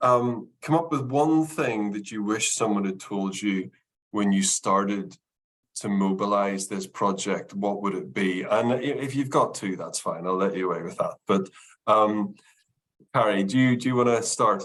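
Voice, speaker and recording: In a Northern Irish accent, a man speaks at a moderate pace, fairly low in pitch, with ordinary pitch variation. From Northern Ireland. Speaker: consultancy managing director, webinar host. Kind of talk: webinar Q&A moderation.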